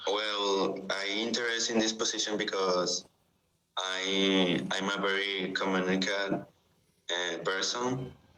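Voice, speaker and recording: A man with a Spanish accent speaks at a fairly slow pace, his pitch fairly low and intonation fairly even. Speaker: student. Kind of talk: role-play job interview. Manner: halting.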